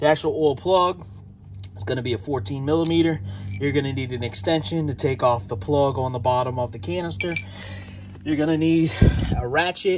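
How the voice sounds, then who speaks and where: Noticeable background noise runs beneath a man talking at a fairly quick pace. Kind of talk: tutorial. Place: garage. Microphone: phone near.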